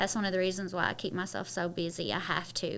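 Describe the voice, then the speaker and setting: Heard on a very clean recording with a silent background, a woman in a Kentucky accent speaks with a bright, sharp tone and vocal fry. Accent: Southern Kentucky. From Kentucky, Harlan County (Appalachia). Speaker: model, actress and media entrepreneur. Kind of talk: casual interview chat. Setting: studio.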